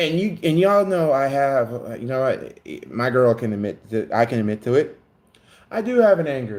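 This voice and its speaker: A plain, everyday voice from a man, moderate in pace and lively in intonation. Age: 20s. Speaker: YouTube content creator. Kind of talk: casual live stream monologue.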